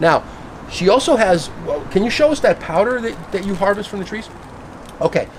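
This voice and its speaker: A man talks in an animated tone at a very fast pace over noticeable background noise. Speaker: fruit tree grower and video host. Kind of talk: casual backyard interview. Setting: outdoors in a backyard.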